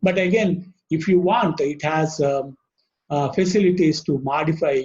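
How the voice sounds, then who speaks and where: With a South Asian accent, a man speaks at a moderate pace and with ordinary pitch variation. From Indian subcontinent. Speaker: webinar speaker on library software. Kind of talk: technical presentation. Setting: online webinar. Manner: halting with frequent fillers.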